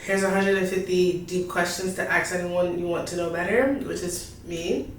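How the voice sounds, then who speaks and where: The speech goes at a moderate pace in a flat monotone. Audible room echo and noticeable background noise surround it. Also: woman. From New York. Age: 20s. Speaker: YouTuber, artist. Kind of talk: casual vlog Q&A. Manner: casual, meandering.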